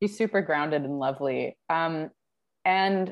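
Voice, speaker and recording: Against a quiet background, a woman with a Canadian accent and a normal speaking voice talks at a fairly slow pace and fairly low pitch. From Vancouver, Canada. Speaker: musician. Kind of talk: casual interview.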